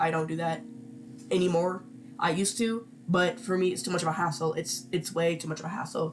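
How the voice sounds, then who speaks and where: The speech goes at a fairly quick pace while music sounds in the background. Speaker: digital artist. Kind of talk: casual voice-over tutorial. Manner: rambling, casual, hesitant.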